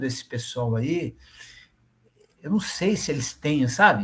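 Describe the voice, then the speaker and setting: A man speaks in a somewhat breathy voice. He goes at a very slow pace with very wide pitch swings. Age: 60s. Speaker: retired volunteer student. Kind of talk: casual discussion.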